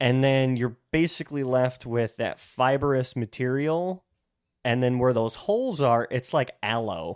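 A man with an American accent has an ordinary speaking voice at medium pitch. His pitch variation is ordinary, on a very clean recording with a silent background. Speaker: podcast co-host. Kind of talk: casual chat.

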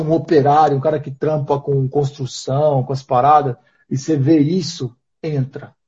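A man speaks in a somewhat breathy voice. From interior of São Paulo state, Brazil. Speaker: nomadic entrepreneur, street seller. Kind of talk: casual chat. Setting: live stream video call.

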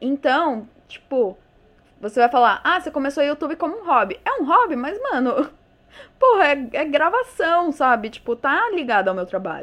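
In an animated tone, a woman speaks in a high voice with very wide pitch swings. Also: moderate pace. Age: 20s. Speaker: podcaster and YouTuber. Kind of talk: solo casual monologue. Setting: alone at a microphone. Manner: animated, informal.

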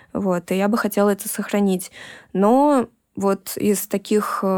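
A woman speaks at medium pitch with ordinary pitch variation. The recording is very clean, with a silent background and a dry, close sound with no echo. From Russia. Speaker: tattoo artist and illustrator. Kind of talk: interview conversation.

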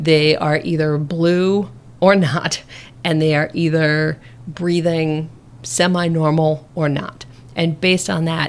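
Over noticeable background noise, a woman with a very deep, low pitch speaks in an American accent with fairly even intonation. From US Midwest, Nebraska. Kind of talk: interview.

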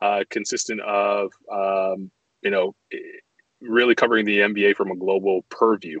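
A man with a Canadian accent at a fairly slow pace. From Canada, Toronto (born Montreal). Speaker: basketball commentator and journalist. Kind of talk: casual interview chat. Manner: hesitant, many fillers.

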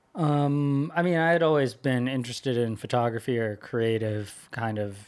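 This is a plain, everyday voice with an American accent. It moves at a fairly slow pace with ordinary pitch variation. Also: man. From US West Coast, California Bay Area. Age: 20s. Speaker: social media marketer. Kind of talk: casual interview chat. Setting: studio.

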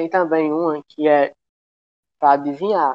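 A man's fairly high voice at a moderate pace, flat and monotone in intonation. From Pernambuco, Brazil. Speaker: podcast guest. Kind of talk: casual chat.

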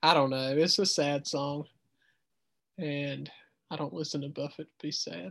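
A man with a strong Southern US accent talks at a moderate pace in a fairly high voice, using ordinary pitch variation and long, frequent pauses. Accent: thick Southern US. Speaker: teacher and podcast host. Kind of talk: casual chat.

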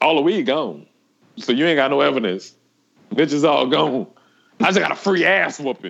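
In an animated tone, a man speaks at a fairly high pitch with vocal fry and very wide pitch swings. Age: 30s. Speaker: returning podcast guest. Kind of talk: casual chat.

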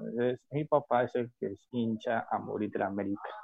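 This is a man with a normal speaking voice at a medium pitch. His pitch rises and falls in an ordinary way. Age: 30s. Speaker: football fan. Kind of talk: casual chat.

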